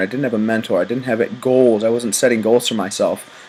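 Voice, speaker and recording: Noticeable background noise surrounds a man whose pitch sits in the middle range. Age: 20s. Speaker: college student and network marketing recruiter. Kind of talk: sales pitch. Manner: casual, filler-heavy.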